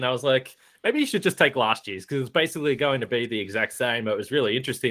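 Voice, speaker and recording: In an Australian accent, a man talks at a medium pitch with ordinary pitch variation. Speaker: basketball podcast host. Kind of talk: casual chat.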